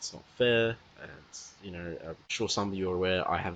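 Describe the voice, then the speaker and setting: The voice is quiet, moving at a moderate pace with ordinary pitch variation. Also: man. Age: young. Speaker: podcast host. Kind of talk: casual podcast monologue.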